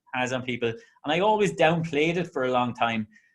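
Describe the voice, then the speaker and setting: A man speaks at a fairly quick pace with an Irish accent. His pitch is fairly high. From Ireland. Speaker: interviewer and singer. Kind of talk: casual interview chat.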